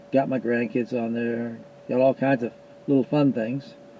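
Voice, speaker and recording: Against noticeable background noise, a man with an American accent speaks at medium pitch and a moderate pace with fairly even intonation. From US Pacific Northwest. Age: 80s+. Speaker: YouTuber, Bigfoot investigator. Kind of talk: casual monologue to viewers.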